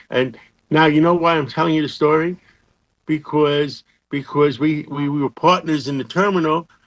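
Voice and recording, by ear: A man speaks at a moderate pace, his pitch fairly high with ordinary variation.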